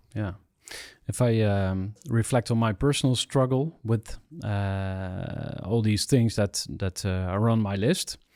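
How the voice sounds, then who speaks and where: On a very clean recording with a silent background, a man talks very slowly in a dark, mellow tone, his fairly low pitch showing ordinary variation. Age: 40s. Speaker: podcast host. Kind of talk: podcast interview. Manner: halting.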